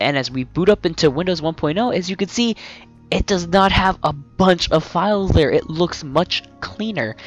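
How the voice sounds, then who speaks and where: A dry sound with no echo at a moderate pace, with music in the background. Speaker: software reviewer. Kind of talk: commentary.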